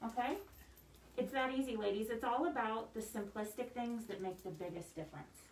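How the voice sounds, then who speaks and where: Noticeable background noise and audible room echo surround a woman speaking at a fairly quick pace. Her pitch is fairly high, with ordinary pitch variation. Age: 40s. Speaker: makeup artist. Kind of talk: makeup tutorial.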